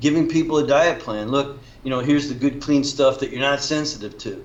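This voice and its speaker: Using a plain, everyday voice, a man speaks at a fairly quick pace with fairly high pitch and fairly even intonation. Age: 60s. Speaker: functional nutrition practitioner. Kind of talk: interview.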